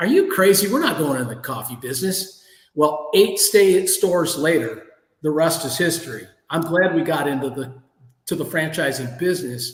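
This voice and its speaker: A high-pitched man with an American accent, ordinary pitch variation, a moderate pace and audible room echo. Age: 60s. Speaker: entrepreneur. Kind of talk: interview.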